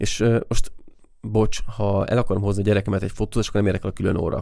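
A man's very fast, fairly low-pitched voice, dark and mellow in tone, in a monotone, flat intonation. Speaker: photographer and podcast co-host. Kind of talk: casual chat.

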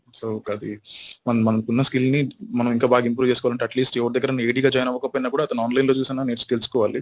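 In a Tamil accent, a man talks at medium pitch with monotone, flat intonation, the sound dry and close with no echo. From India, Kadapa, Andhra Pradesh. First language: Tamil (speaking Telugu). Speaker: independent filmmaker. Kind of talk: interview.

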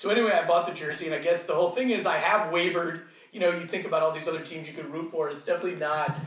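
A man's high-pitched voice at a very fast pace, fairly even in intonation, over noticeable background noise and audible room echo. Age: 40s. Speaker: soccer fan guest. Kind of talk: casual chat.

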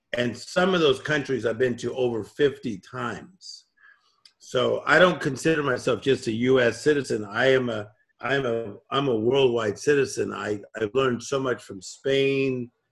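A man speaks fairly slowly in a somewhat breathy voice. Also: medium pitch for a man, ordinary pitch variation. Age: 50s. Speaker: motivational speaker and coach. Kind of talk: interview. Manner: calm.

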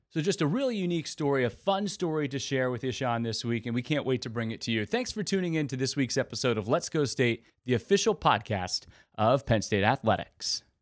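A man with a plain, everyday voice speaks at a medium pitch and fairly quick pace with lively intonation. The recording is very clean, with a silent background. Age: 30s. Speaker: podcast host. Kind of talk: interview; scripted intro.

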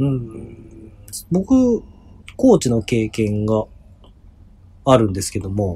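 Somewhat breathy and dark, mellow in tone, a man of medium pitch speaks at a very slow pace with ordinary pitch variation and long, frequent pauses. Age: 30s. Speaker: basketball podcast co-host. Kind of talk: casual chat.

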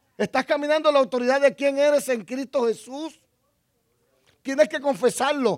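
A man's extremely high-pitched voice, with long, frequent pauses and a dry, close sound free of echo. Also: ordinary pitch variation, moderate pace. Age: 50s. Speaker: pastor. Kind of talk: sermon. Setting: church.

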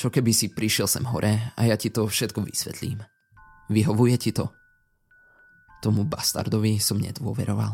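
Music plays in the background as a man talks. His pitch is fairly low and his intonation monotone and flat. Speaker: creepypasta narrator. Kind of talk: ghost story telling, first-person horror narration. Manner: suspenseful, hushed and slow-building, dramatic.

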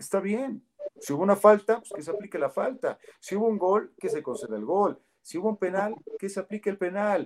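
A man's high-pitched voice with ordinary pitch variation, a fairly quick pace, and a dry, close sound with no echo. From central Mexico, Toluca. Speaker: football commentator. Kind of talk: interview.

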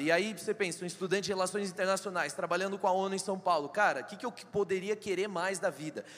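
A man talks at a fairly quick pace in a high pitch with an animated tone. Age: 20s. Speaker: church member in politics. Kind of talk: testimony. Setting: church stage with audience.

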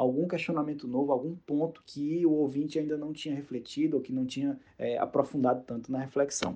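A man speaks quite quickly in a fairly high pitch with a dark, mellow tone. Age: 30s. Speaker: journalist and podcaster. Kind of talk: interview answers, casual.

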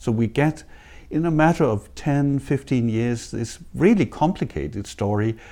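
Someone with a Danish accent and a dark, mellow tone speaks at a fairly slow pace with lively intonation in a very clean recording over a silent background. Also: man. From Denmark. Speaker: history professor. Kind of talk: interview. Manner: hesitant, many fillers; passionate.

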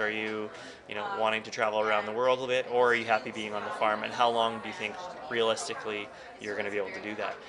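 Over noticeable background noise and audible room echo, a man talks very fast at a medium pitch with fairly even intonation. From northern Alberta, Canada. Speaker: attorney and cattle rancher. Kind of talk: podcast interview.

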